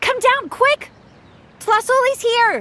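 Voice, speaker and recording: Someone puts on a squeaky character voice. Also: woman. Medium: video game. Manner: friendly, easygoing.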